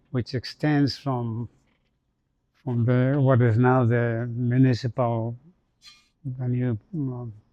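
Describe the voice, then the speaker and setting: In a medium-pitched monotone, a man speaks at a very slow pace, with long, frequent pauses. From Bolivia. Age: 80s+. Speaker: entrepreneur. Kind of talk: interview.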